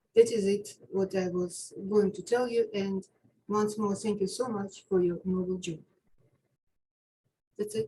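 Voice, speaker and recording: In an Eastern European accent, a woman talks at a fairly slow pace with a somewhat breathy voice. Her intonation is monotone and flat, broken by long, frequent pauses. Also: medium pitch for a woman. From Ukraine. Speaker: public housing tenant, caller. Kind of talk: public comment at community meeting. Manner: halting.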